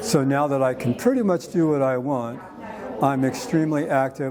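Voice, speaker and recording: Noticeable background noise and audible room echo surround the recording. A man of medium pitch talks at a moderate pace. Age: 70s. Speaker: hip replacement patient. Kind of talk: testimonial. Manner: halting, with fillers and restarts.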